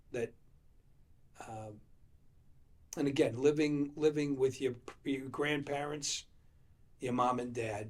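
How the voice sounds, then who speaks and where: A man with a New England accent, somewhat breathy, at a fairly slow pace. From Leominster, Massachusetts. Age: 70s. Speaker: former mayor. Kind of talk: oral history interview. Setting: library. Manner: halting.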